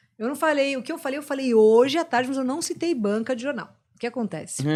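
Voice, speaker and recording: With lively intonation, this woman speaks very fast. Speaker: rock radio host. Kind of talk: casual podcast chat. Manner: animated.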